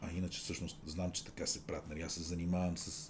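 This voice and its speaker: Somewhat breathy, a man's very deep, low voice moves at a moderate pace with fairly even intonation. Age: 50s. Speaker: radio host. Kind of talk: casual chat.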